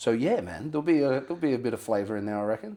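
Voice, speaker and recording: A man with an Australian accent, medium-pitched and dark and mellow in tone, talking very fast with lively intonation. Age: 30s. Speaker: rapper. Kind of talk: casual chat.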